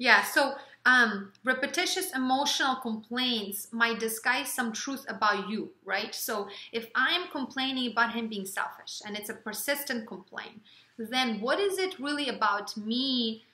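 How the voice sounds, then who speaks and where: A high-pitched woman with a Ukrainian accent, ordinary pitch variation and a fairly slow pace, over noticeable background noise. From Ukraine. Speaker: relationship vlogger. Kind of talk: casual chat.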